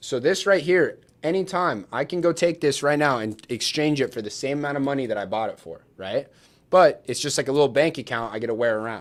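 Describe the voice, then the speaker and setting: Here is a man with an unremarkable speaking voice and a fairly high pitch. He talks at a fairly quick pace with ordinary pitch variation on a very clean recording with a silent background. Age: 20s. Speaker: real estate wholesaler. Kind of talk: livestream Q&A. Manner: casual.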